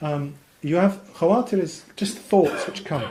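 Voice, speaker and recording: A man talks in a high voice with lively intonation. Audible room echo surrounds the recording. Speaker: Islamic teacher. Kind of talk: lecture. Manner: fast.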